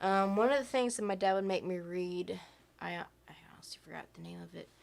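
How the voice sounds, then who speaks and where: The speaker is soft-spoken, with fairly even intonation. Music plays in the background. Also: woman. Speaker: podcast co-host. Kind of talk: casual chat.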